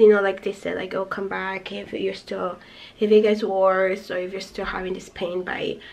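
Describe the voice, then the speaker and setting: Noticeable background noise behind a woman's fairly quick speech. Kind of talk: casual talk to camera.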